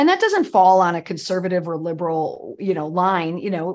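Against a quiet background, a woman with an American accent speaks at a moderate pace and medium pitch in an ordinary speaking voice. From US Midwest. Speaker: PR crisis expert and podcaster. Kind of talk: casual interview chat.

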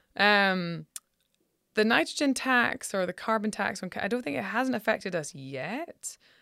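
A woman with a Scottish accent, medium pitch, very wide pitch swings and a moderate pace, on a very clean recording with a silent background. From Scotland. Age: 40s. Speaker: rancher. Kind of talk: casual chat.

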